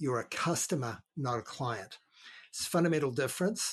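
A man speaks with a New Zealand accent. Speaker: real estate broker. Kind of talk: casual interview.

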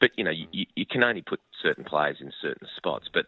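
A man with an Australian accent at a moderate pace. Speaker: sports commentator. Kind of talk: casual chat.

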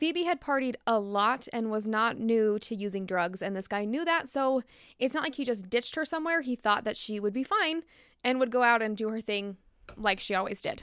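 In a plain, everyday voice, a woman speaks with fairly high pitch and lively intonation at a moderate pace. The recording is very clean, with a silent background. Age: 30s. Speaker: true crime podcaster. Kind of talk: true-crime narration, storytelling with quoted accounts. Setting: home studio, solo microphone. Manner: conversational, sympathetic, engaged storytelling; informal, chatty.

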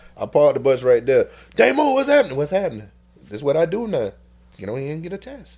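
Speaking at a very fast pace, a man uses a high voice with very wide pitch swings and big swings in loudness, over noticeable background noise. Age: 40s. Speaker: HIV testing unit manager and podcaster. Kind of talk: casual chat.

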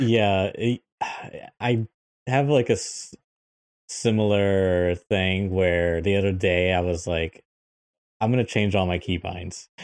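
With an American accent, a man speaks at a very slow pace in a fairly low pitch with ordinary pitch variation, leaving long, frequent pauses against a quiet background. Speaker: gaming podcast co-host and video editor. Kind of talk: casual chat. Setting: video call podcast recording.

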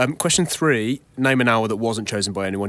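Speech moves at a fairly quick pace. It is an unremarkable speaking voice. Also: man. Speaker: quiz statistician co-host. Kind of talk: quiz explanation.

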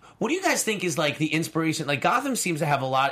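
This man has a fairly high pitch. He speaks with an American accent. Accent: New York, comes out at times. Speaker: film podcast co-host. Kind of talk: casual chat. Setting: studio.

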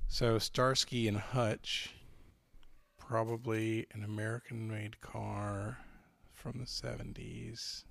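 At a very slow pace, a man speaks with a playful tone at a medium pitch, his intonation flat and monotone. The recording is very clean, with a silent background. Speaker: podcast host and trivia contestant. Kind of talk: casual banter in a trivia game. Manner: joking, playful.

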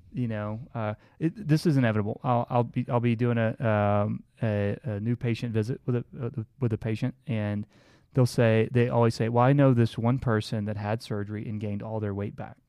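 In a dry, close recording with no echo, a man talks in a plain, everyday voice. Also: medium pitch for a man, moderate pace, very clean recording, silent background. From Southeast Texas. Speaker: bariatric doctor. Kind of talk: casual chat.

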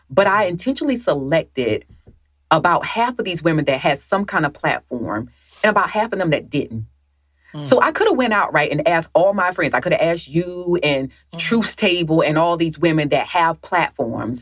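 With a Southern US accent, a woman speaks in very wide pitch swings. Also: moderate pace. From US South. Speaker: author and Marine veteran. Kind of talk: podcast interview.

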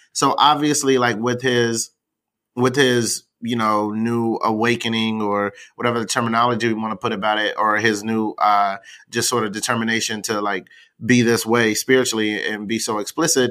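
On a very clean recording with a silent background, a man speaks with an American accent at a moderate pace and medium pitch. His tone is bright and sharp, his intonation monotone and flat. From US South. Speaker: creative director. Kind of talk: casual chat.

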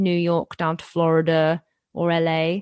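A woman talks in a British accent. The background is quiet, and the sound is dry and close with no echo. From England, partly raised in Ontario, Canada. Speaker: comedian and online video creator. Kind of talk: casual interview.

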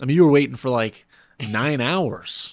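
A man with an American accent speaks in an ordinary speaking voice at a moderate pace, with ordinary pitch variation, on a very clean recording with a silent background. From New York City. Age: 20s. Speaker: airline pilot and ultramarathon runner. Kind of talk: casual interview.

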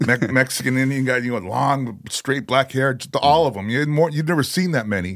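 Speaking at a fairly quick pace, a man with a normal speaking voice keeps a medium pitch and ordinary pitch variation on a very clean recording over a silent background. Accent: American. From Chicago, US. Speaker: metal vocalist. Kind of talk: casual chat. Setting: in-person studio interview.

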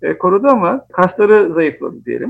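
Recorded with a dry, close sound with no echo, a man speaks at a high pitch and a fairly quick pace with lively intonation. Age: 40s. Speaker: software company founder and CEO. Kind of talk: interview.

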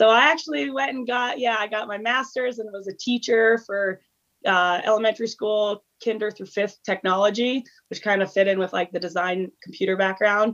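At a moderate pace and with ordinary pitch variation, an ordinary speaking voice talks in an American accent. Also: woman, fairly high pitch for a woman. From Iowa. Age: 20s. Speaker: endurance athlete. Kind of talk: casual chat.

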